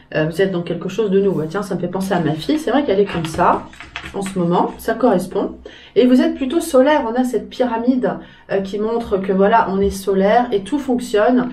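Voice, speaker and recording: Lively in intonation, a woman speaks at a medium pitch and a fairly quick pace. Noticeable background noise and audible room echo fill the recording. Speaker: tarot reader. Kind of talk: tarot reading video. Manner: hesitant with fillers.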